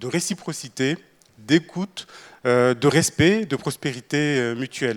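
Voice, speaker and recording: Speaking very slowly, a man with a Mayotte accent uses a fairly high pitch. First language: Shimaore (speaking French). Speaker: government minister. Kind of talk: panel talk. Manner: halting, many filler sounds.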